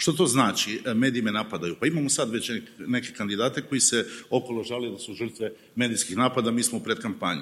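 A man talks at a very fast pace with a medium pitch and ordinary pitch variation. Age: 50s. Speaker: TV journalist. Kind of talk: panel discussion. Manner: animated.

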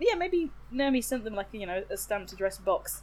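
This is a woman speaking. Her pace is very fast. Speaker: podcast host. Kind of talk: casual chat. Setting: remote recording.

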